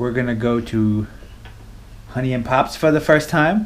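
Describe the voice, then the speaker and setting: A man is speaking. His pace is fairly slow. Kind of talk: casual vlog chat. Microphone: phone near.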